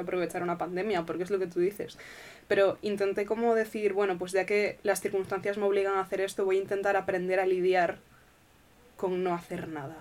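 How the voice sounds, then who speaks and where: A woman's medium-pitched voice at a fairly quick pace with monotone, flat intonation. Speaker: podcast host. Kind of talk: casual chat.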